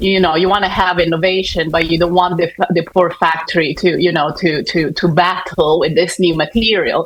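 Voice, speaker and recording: Over noticeable background noise, a woman with a fairly low pitch talks in a flat monotone at a moderate pace, with very even loudness and hardly any pauses. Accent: Italian. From Italy. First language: Italian. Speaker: fashion sustainability consultant. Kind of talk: panel discussion. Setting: conference stage with audience. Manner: halting.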